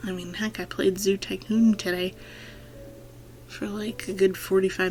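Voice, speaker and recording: A quiet woman at a moderate pace, with medium pitch and fairly even intonation. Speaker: gaming YouTuber. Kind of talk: let's play voiceover commentary. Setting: home recording at night. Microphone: speakers off to avoid echo.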